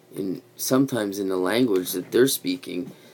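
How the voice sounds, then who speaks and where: A man with a Quebec accent speaks with lively intonation. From Quebec, Canada (Montreal). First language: French (bilingual). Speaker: YouTube vlogger. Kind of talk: casual livestream chat. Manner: rambling with many fillers.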